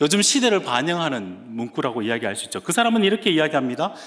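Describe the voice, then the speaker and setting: With a Gyeongsang accent, a man speaks at a high pitch with very wide pitch swings. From Gyeongsang region, Korea. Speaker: guest preacher, seminary professor. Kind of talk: sermon. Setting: church.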